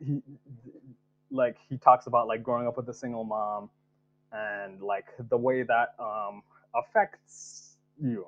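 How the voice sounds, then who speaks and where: Long, frequent pauses break up a man's fairly slow speech. His medium-pitched voice keeps a fairly even intonation. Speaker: writer and poet. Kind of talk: casual interview chat.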